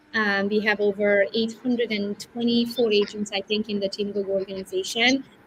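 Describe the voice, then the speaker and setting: Over noticeable background noise, a woman at medium pitch talks at a fairly quick pace with hardly any pauses and a flat, monotone intonation. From Romania. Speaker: real estate agent and team leader. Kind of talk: interview. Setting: livestream.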